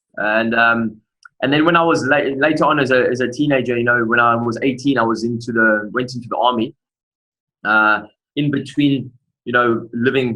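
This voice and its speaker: A man with a South African accent, fairly quick pace and fairly even intonation. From South Africa, Durban. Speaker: motivational speaker. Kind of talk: interview testimony.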